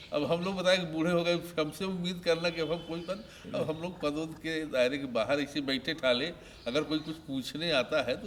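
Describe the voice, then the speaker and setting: Noticeable background noise runs under this recording. A man speaks at a moderate pace with a fairly high pitch. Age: 70s. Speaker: retired politician. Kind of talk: interview.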